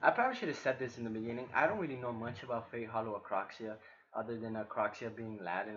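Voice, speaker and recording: A man with a non-native accent speaks very fast at a medium pitch with ordinary pitch variation. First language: not English. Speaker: gaming reaction youtuber. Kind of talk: game reaction with reading aloud.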